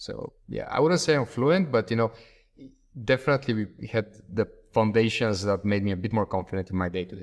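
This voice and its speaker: A man with a fairly low voice talks at a fairly quick pace, his intonation lively. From Bulgaria. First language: Bulgarian. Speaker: startup executive. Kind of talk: interview.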